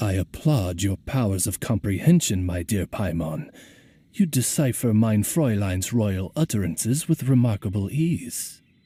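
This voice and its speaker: Using a put-on character voice, a man speaks at a moderate pace with a fairly low pitch. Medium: video game. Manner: polite, courtly, formal.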